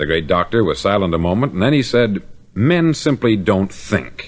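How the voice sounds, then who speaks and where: In a very clean recording with a silent background, the speaker uses an American accent with vocal fry and very wide pitch swings. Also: man. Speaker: motivational speaker. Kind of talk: motivational spoken-word record.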